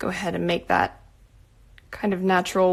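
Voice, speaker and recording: A soft-spoken woman. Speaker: artist. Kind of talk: painting livestream.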